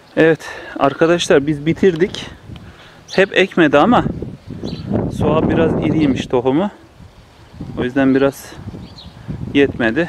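A man with a fairly high pitch speaks at a fairly slow pace, leaving long, frequent pauses. Noticeable background noise runs under the recording. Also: ordinary pitch variation, very even loudness. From Turkey, Kayseri (Develi village). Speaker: village life vlogger. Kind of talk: casual vlog narration. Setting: outdoors in a village garden.

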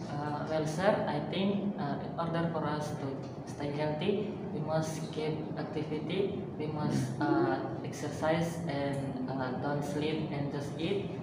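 Loud background noise and audible room echo surround a man speaking at a very slow pace. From Indonesia. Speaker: nursing student. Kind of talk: reading aloud and class answer. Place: classroom. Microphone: camera far.

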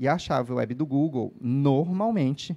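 A man talks at a medium pitch. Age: 40s. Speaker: developer evangelist. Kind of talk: conference talk. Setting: stage with audience. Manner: casual, energetic. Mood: relaxed, joking. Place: stage. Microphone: handheld.

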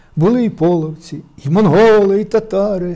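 Speaking fairly slowly over a quiet background, a man has a high pitch and a dark, mellow tone. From Ukraine, Poltava region; Ukraine. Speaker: poet, war veteran; guest. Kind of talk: interview with poetry reading. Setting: studio. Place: studio. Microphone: lapel.

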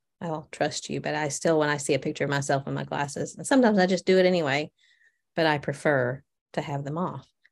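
Very deep and low in pitch, a woman speaks at a very fast pace with vocal fry and ordinary pitch variation. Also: quiet background. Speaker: podcast co-host. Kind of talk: casual chat. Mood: reflective, thoughtful. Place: office. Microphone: video call.

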